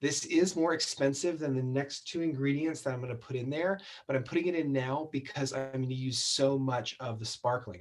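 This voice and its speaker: Big swings in loudness run through a man's fairly quick speech, pitched fairly high with ordinary pitch variation. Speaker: cocktail show host. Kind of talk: tutorial. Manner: fast.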